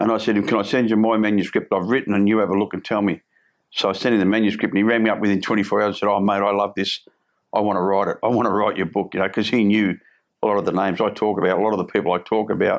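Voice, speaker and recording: A man with a strong Australian accent, fairly low pitch, monotone, flat intonation, very even loudness, and a very fast pace over a quiet background. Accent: broad Australian. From Australia, Melbourne (Fitzroy). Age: 60s. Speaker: former criminal, recovery coach. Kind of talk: interview storytelling. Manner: halting, repetitive.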